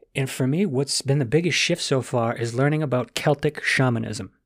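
In a very clean recording with a silent background, a man speaks at a moderate pace, his medium-pitched voice showing ordinary pitch variation. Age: 30s. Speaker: transformational coach and podcaster. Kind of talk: solo podcast monologue. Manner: animated.

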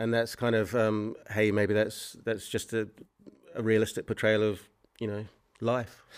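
With a New Zealand accent, a man talks at a fairly slow pace and fairly low pitch, using monotone, flat intonation and long, frequent pauses. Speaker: filmmaker. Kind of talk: interview. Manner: halting.

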